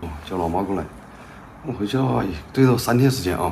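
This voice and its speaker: A man talks at a very fast pace with lively intonation over light background noise. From western Hubei, China. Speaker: vlogger, father. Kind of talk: casual vlog chat. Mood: thoughtful, discussing a family problem. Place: home room. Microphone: camera far.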